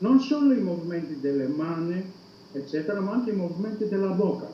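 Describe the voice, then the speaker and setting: Noticeable background noise is heard behind a man with a high pitch. He talks at a fairly quick pace with lively intonation. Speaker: university psychology professor. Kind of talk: interview answer.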